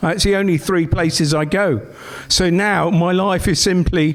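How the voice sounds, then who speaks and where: Noticeable background noise runs behind this recording. A man talks at a very slow pace. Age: 60s. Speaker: comedian. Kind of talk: stand-up. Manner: halting.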